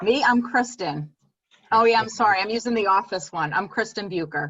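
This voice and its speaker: Speaking at a fairly quick pace, a woman with a medium pitch uses lively intonation. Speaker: real estate trainer. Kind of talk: training class. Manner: fast.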